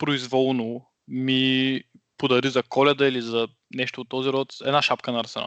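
A man talks at a moderate pace in a medium pitch. The sound is dry and close with no echo, over a quiet background. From Bulgaria, Shumen region. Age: 20s. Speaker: podcast host, linguistics student. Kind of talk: casual chat. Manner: halting.

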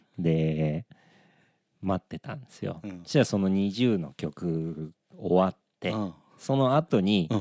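A man with a very deep, low pitch and a dark, mellow tone speaks fairly slowly with big swings in loudness, in a very clean, dry, close recording with no echo and a silent background. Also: lively intonation. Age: 40s. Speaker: band musician and podcast co-host. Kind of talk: casual chat.

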